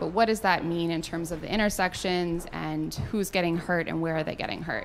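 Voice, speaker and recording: In a plain, everyday voice, a woman speaks at a fairly low pitch with ordinary pitch variation over light background noise. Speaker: presenter. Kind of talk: public presentation. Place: hall. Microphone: handheld.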